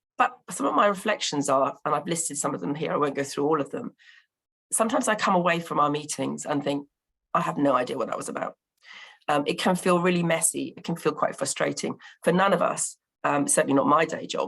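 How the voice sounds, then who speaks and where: A woman with a Bristol accent speaks at a very fast pace with lively intonation and vocal fry. Her pitch is fairly low, and the recording is very clean with a silent background. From England, Bristol. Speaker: local partnership representative. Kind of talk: conference presentation. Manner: hesitant, many fillers.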